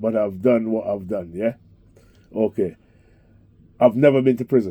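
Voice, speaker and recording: A man speaks at a medium pitch and a moderate pace. His dark, mellow tone carries ordinary pitch variation. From Barbados and London. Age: 60s. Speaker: taxi driver. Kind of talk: interview.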